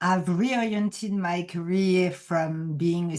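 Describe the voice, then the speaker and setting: With a French accent and a dark, mellow tone, a woman at medium pitch speaks very slowly with ordinary pitch variation. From France. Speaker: executive coach. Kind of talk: podcast interview.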